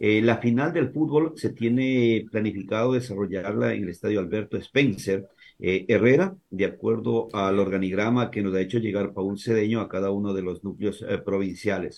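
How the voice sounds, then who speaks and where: This man's pitch is fairly low, with ordinary variation. He keeps a moderate pace with hardly any pauses. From Ecuador, Santo Domingo de los Tsáchilas (born in Azuay). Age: 50s. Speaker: sports journalist. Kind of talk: casual chat.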